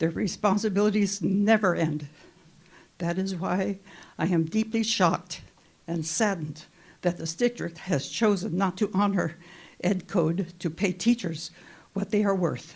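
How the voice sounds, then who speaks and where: Somewhat breathy, a woman speaks at a fairly slow pace with long, frequent pauses, a medium pitch and ordinary pitch variation. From Monterey, California. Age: 80s+. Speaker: school volunteer. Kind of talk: public comment.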